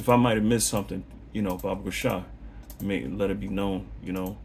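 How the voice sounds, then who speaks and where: Speaking at a fairly quick pace, a man uses a fairly low pitch with vocal fry. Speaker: religious teacher. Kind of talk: bible lesson monologue. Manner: fast; animated.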